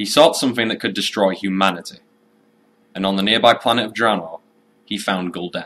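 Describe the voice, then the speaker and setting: A man with a Yorkshire accent talks at a fairly quick pace in a bright, sharp tone. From Yorkshire, England. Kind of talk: video game lore narration.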